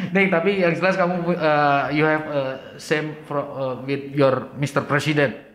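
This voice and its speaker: Hardly any pauses break up the speech. It unfolds at a fairly slow pace. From Indonesia. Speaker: talk show host. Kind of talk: casual interview.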